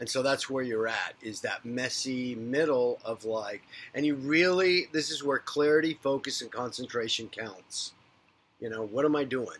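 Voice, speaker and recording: This man's voice sits fairly high, with ordinary pitch variation. His pace is moderate. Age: 50s. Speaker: psychic medium and spiritual coach. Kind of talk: unscripted spiritual monologue. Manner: rambling, conversational.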